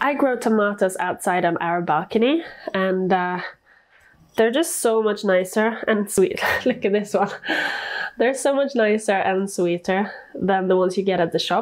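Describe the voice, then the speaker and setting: A woman speaks at a moderate pace with ordinary pitch variation. Her loudness stays very even over a quiet background. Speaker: home cook vlogger. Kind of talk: casual cooking tutorial chat. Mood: light, playful, laughing. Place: kitchen. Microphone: lapel.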